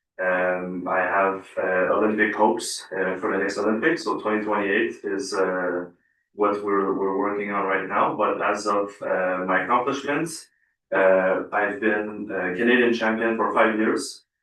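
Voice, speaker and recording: With music in the background, a man of fairly low pitch speaks at a fairly slow pace and with fairly even intonation. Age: 20s. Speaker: Olympic weightlifter. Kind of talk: interview at council meeting. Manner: hesitant, many fillers.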